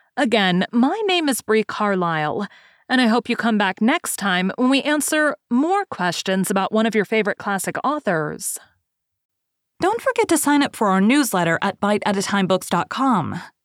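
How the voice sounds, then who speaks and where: In a very clean recording with a silent background and a dry, close sound with no echo, a woman with a normal speaking voice and a fairly high pitch talks at a moderate pace with lively intonation and very even loudness. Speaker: podcast host. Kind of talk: literary essay reading. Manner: measured, formal; steady, even-paced.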